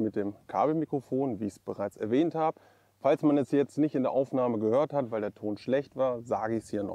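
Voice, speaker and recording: Against a quiet background, a man speaks with a dark, mellow tone and ordinary pitch variation. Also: dry sound with no echo. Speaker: gear reviewer. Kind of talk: casual review vlog talk. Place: open country. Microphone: lapel.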